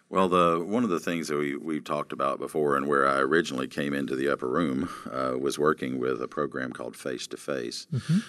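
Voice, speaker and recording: At a fairly quick pace, a man talks in a very deep, low voice. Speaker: pastor and ministry program director. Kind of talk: interview conversation.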